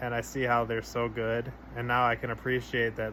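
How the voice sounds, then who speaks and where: At a moderate pace, a man speaks at medium pitch over noticeable background noise. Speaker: vlogger sharing personal update. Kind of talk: casual personal vlog. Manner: halting, many fillers; somber.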